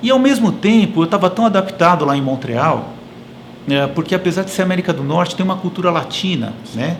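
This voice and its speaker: A man's high-pitched voice with lively intonation, over noticeable background noise. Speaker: engineering professor and consultant. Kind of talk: interview conversation. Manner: hesitant, many fillers.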